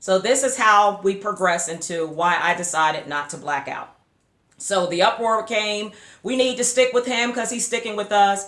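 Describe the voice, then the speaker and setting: With an animated tone, a woman talks while her pitch varies in an ordinary way. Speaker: YouTuber, sports and faith vlogger. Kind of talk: vlog commentary. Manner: fast.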